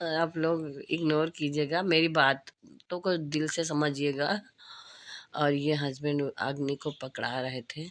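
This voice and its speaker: Very slow pace against a quiet background. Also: woman, very deep, low pitch for a woman. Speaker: vlogger. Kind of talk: casual vlog narration. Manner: halting, many fillers.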